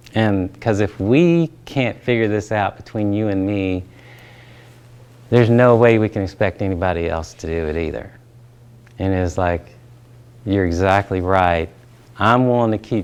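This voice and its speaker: A man's very deep, low voice with a Southern US accent, ordinary pitch variation, a fairly slow pace and long, frequent pauses. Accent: Southern drawl. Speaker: pastor and trainer. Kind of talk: training talk with personal story.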